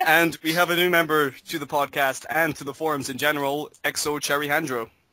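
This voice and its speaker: A man talks at a fairly quick pace with fairly high pitch, a bright, sharp tone and a monotone, flat intonation. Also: big swings in loudness. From Scotland. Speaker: podcast host. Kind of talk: casual chat.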